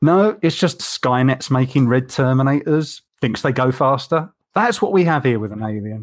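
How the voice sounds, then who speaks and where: A man with a British accent speaks at a moderate pace with medium pitch and lively intonation. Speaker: podcast co-host. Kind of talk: casual chat.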